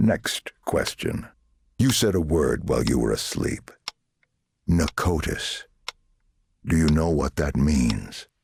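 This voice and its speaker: Putting on a character voice, a man speaks at a fairly slow pace in a very deep, low pitch, with lively intonation and long, frequent pauses. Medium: video game. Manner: menacing, condescending.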